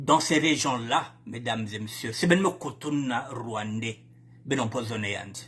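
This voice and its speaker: Over noticeable background noise, a man with a Congolese accent speaks at a fairly slow pace. His pitch is medium, with ordinary pitch variation. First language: Lari (speaking French). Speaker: political commentator. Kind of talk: political broadcast monologue. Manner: animated.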